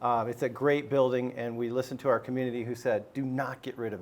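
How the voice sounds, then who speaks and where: Here is an ordinary speaking voice with an American accent. The pace is fairly quick. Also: man. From US Southwest, Arizona. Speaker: school superintendent. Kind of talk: panel discussion.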